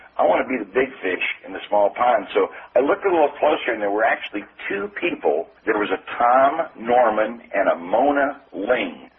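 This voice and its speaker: With a Midwestern American accent, a man speaks at a moderate pace and medium pitch, his intonation lively over noticeable background noise. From US Midwest. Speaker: sales trainer. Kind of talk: interview.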